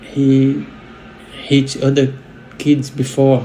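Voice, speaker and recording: Audible room echo surrounds a man speaking with a Brazilian Portuguese accent. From Brazil, Rio de Janeiro. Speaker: delivery worker, witness who intervened in an attack. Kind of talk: interview testimony. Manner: halting, with repeated words.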